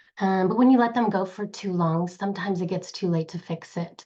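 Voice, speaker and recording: Against a quiet background, a woman talks fairly quickly at a medium pitch with ordinary pitch variation. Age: 50s. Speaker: direct sales leader. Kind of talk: motivational presentation.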